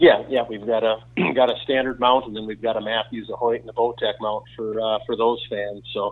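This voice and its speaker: A man's medium-pitched voice at a fairly quick pace, monotone and flat, with hardly any pauses. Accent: Wisconsin. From central Wisconsin. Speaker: archery equipment company owner. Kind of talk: casual interview.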